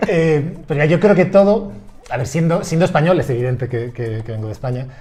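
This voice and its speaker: With a Spanish accent, a man speaks at a fairly quick pace in a fairly high pitch, his intonation lively, while noticeable background noise and audible room echo fill the recording. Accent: Spanish, from Spain. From Spain, Madrid. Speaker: university professor. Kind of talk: casual interview. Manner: halting.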